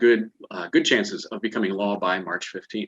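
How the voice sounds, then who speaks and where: A man with a plain, everyday voice speaks at a fairly low pitch and a moderate pace, the sound dry and close with no echo. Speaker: financial advisor presenting a webinar. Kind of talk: webinar presentation. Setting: online webinar.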